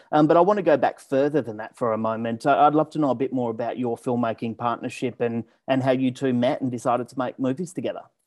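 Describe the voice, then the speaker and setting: A man with an Australian accent talks at a very fast pace with hardly any pauses, at medium pitch and with ordinary pitch variation. The sound is dry and close with no echo, over a quiet background. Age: 30s. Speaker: film podcast host. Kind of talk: interview.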